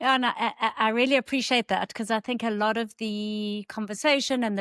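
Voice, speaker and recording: A woman's fairly high voice at a moderate pace, with fairly even intonation, in a very clean, dry, close recording with no echo and a silent background. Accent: South African. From South Africa. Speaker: clinical psychologist. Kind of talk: interview.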